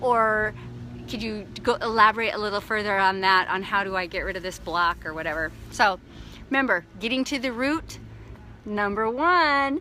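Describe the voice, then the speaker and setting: Her medium-pitched voice carries an animated tone and lively intonation as the woman speaks. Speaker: life coach. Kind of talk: motivational talk. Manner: fast.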